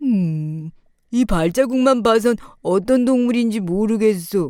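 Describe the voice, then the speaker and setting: A woman puts on a character voice in a fairly high pitch. She delivers it at a fairly slow pace. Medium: read story. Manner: slow, musing.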